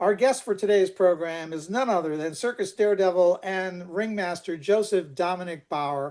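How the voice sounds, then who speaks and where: A man's high-pitched voice with ordinary pitch variation against a quiet background. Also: moderate pace, hardly any pauses. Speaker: circus history society president. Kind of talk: program introduction.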